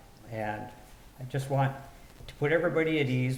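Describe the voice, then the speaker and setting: Audible room echo and noticeable background noise surround the recording. A man speaks with fairly even intonation. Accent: American. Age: 60s. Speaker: city council member. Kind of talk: public meeting discussion.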